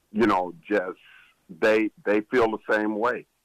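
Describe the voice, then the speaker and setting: Music plays in the background as a man speaks at a fairly low pitch. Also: dry, close sound with no echo. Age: 60s. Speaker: former college basketball assistant coach. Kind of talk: sports talk radio interview.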